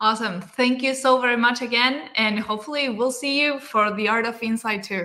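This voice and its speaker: A woman's fairly high voice in a Spanish accent, fairly quick and with hardly any pauses, her intonation fairly even. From Argentina. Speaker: book club host. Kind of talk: casual chat.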